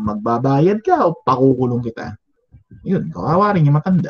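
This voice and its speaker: A man speaks in a fairly high, somewhat breathy voice with very wide pitch swings. The sound is dry and close with no echo. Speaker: teacher. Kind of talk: lecture. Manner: conversational.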